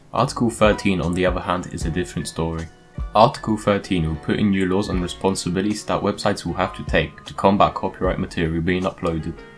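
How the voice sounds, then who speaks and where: A man with a very deep, low voice talks at a very fast pace, his pitch varying in an ordinary way, with music playing in the background. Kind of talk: explainer talk on current affairs. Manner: casual.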